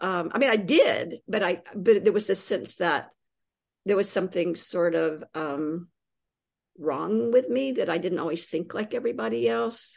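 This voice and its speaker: A woman with an American accent speaks at a fairly low pitch and moderate pace, with vocal fry. Her pitch swings very widely against a quiet background. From US South, East Tennessee. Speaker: poet and creative writing teacher. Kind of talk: interview conversation.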